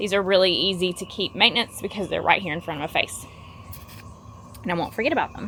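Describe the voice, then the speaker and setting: With a Southern US accent, a woman at a medium pitch talks at a very fast pace with ordinary pitch variation, yet leaves long, frequent pauses. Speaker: gardening YouTuber. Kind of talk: casual vlog tutorial. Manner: casual, filler-heavy.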